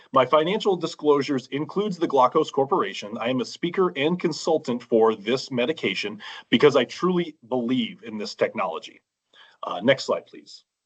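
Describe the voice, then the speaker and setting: A man with an ordinary speaking voice talks at a fairly quick pace and fairly high pitch. His intonation is lively, and his loudness swings widely. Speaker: eye doctor, glaucoma specialist. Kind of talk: public comment presentation. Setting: online meeting.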